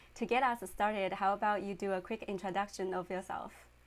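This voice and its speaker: The pace here is moderate, in an unremarkable speaking voice. Behind it, the background is silent on a very clean recording. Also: woman. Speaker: interview host. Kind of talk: live interview host.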